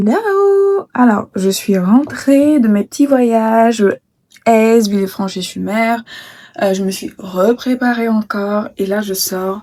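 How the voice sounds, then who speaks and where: At a very slow pace, a woman talks in a fairly high pitch with a dark, mellow tone and ordinary pitch variation. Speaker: travel vlogger. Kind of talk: casual vlog talk to camera. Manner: hesitant, many fillers.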